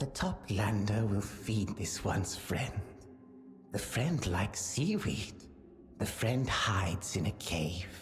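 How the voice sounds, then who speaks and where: A put-on character voice, low-pitched and fairly slow, over clear music in the background. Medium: video game. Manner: speaks of itself in third person, stilted.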